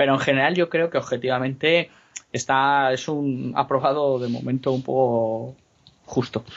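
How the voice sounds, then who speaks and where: A man with an unremarkable speaking voice talks at a medium pitch and a fairly slow pace, his intonation fairly even. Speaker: comics co-host. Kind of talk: casual chat.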